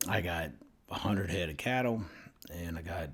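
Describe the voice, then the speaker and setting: Audible room echo carries the voice of a man speaking with a Southern US accent. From US South (Mississippi). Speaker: vlogger. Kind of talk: opinion rant to camera. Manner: animated.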